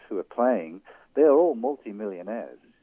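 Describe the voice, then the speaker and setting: A man with an English accent and lively intonation. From England, Irish family. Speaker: college soccer coach. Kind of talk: phone-in sports interview.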